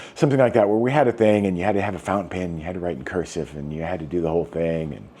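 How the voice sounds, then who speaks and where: A man with a very deep, low voice talks very fast, his intonation lively. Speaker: vlogger. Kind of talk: casual monologue. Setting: indoors, rainy day. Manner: self-conscious, odd rhythm; rambling with many fillers.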